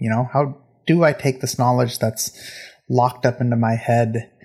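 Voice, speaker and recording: This man's voice is somewhat breathy, with medium pitch, fairly even intonation and a moderate pace. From England, Indian family. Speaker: podcast host. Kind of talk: personal monologue. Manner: hesitant, repeats words.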